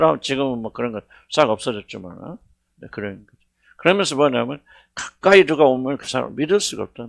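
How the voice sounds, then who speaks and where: Vocal fry runs through a man's medium-pitched voice as he talks at a fairly quick pace with lively intonation, the sound dry and close with no echo. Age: 70s. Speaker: senior pastor. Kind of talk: sermon. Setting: church worship service. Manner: conversational, halting with fillers.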